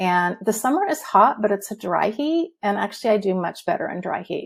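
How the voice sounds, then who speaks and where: A woman with an American accent talks at a fairly quick pace and a medium pitch. Her voice is somewhat breathy, and her intonation is lively. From Southern California. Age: 60s. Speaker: retired dietitian, patient guest. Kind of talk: interview testimony. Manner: fast.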